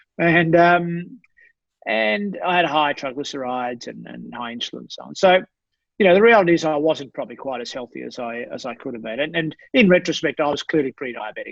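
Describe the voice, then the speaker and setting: Speaking very fast, a man with an Australian accent has a fairly high voice. His pitch varies in an ordinary way. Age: 60s. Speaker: sports doctor. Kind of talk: podcast interview. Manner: halting.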